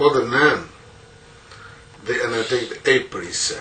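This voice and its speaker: A man with a Burmese accent is heard with audible room echo and noticeable background noise. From rural Myanmar. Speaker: Buddhist monk teacher. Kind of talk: dharma talk.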